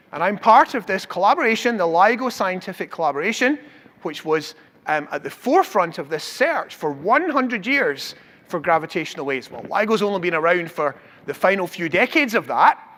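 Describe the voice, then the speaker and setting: With a Scottish accent, a man talks at a fairly quick pace in a high pitch, his voice making very wide pitch swings. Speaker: professor. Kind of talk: public science lecture.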